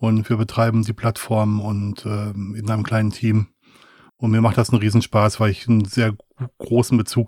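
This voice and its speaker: Speaking at a moderate pace, a man has a fairly low pitch, a dark, mellow tone and monotone, flat intonation. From Ruhr area, Germany (Wanne-Eickel). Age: middle-aged. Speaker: podcast co-host. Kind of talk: casual chat.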